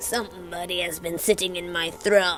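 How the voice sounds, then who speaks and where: Over clear background music, a female-sounding put-on character voice rumbles at a fairly low pitch and a moderate pace. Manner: threatening.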